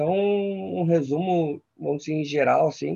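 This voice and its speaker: Lively intonation marks this man's fairly high-pitched voice. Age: 30s. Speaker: physical education intern and small business owner. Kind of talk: casual interview chat.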